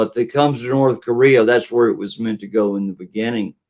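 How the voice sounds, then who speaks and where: In an ordinary speaking voice, a man talks at a medium pitch and fairly quick pace with fairly even intonation. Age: 60s. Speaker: political livestream host. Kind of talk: casual chat. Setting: live stream.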